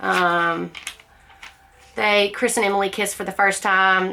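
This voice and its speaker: A woman's voice with noticeable background noise. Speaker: book club vlogger. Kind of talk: casual book discussion monologue.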